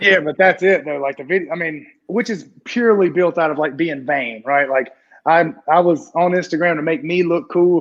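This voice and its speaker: Fairly high in pitch, a man speaks with a Southern US accent. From US South. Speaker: CrossFit athlete and coach. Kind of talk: casual chat.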